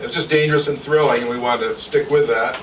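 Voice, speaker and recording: A man at a very fast pace in a monotone, flat intonation, with audible room echo and noticeable background noise. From Michigan, Jackson. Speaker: author. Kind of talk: author talk at a reading event. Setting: live event with audience, on a mic.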